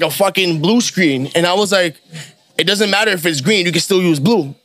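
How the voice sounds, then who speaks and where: Music plays in the background as a man with a high voice speaks at a moderate pace with ordinary pitch variation. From New York, Queens. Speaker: rapper. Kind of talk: casual chat.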